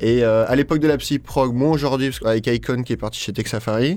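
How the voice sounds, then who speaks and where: Speaking at a medium pitch and a moderate pace, a man has a dark, mellow tone and ordinary pitch variation. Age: 20s. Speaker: psytrance label founder. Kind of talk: radio interview. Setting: radio studio. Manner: hesitant with fillers.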